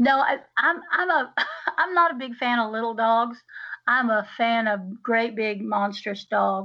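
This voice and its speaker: A woman with a Southern US accent, fairly high in pitch, with ordinary pitch variation. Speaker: podcast co-host. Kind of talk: casual chat.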